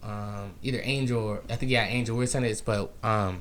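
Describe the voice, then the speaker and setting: Delivered at a moderate pace, the words carry audible room echo. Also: man. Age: 20s. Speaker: podcast host. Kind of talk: casual interview.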